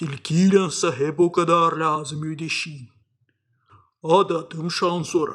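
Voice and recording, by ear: Putting on a cartoonish character voice with a high pitch, a man speaks fairly slowly with long, frequent pauses.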